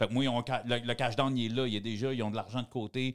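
With a Quebec accent, this man speaks at a medium pitch and with fairly even intonation. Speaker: former criminal, podcaster. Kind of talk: casual chat.

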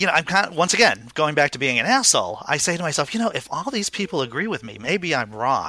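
Talking at a very fast pace with hardly any pauses, a man uses a fairly high pitch, very wide pitch swings and a bright, sharp tone. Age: 40s. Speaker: comedian. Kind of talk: casual chat.

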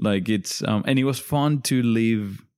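With a Spanish accent, a man speaks at a medium pitch with ordinary pitch variation on a very clean recording with a silent background. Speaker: cook, former cooking contestant. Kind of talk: casual chat.

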